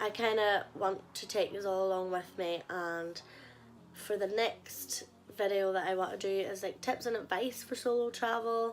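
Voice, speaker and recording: With a strong Northern Irish accent, a woman speaks at a moderate pace in a medium pitch with fairly even intonation. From Northern Ireland, Ballymena. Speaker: travel vlogger. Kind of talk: casual vlog monologue.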